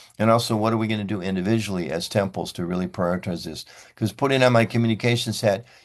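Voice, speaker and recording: Fairly low-pitched, a man talks at a very fast pace with ordinary pitch variation. The background is quiet. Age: 70s. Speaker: religious community leader. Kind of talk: conference talk. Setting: video call. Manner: conversational.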